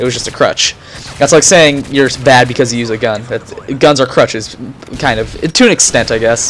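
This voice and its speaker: Over noticeable background noise, a man talks fairly quickly at a medium pitch. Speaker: gaming commentator. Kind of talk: gameplay commentary. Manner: stuttering, halting; casual, filler-heavy.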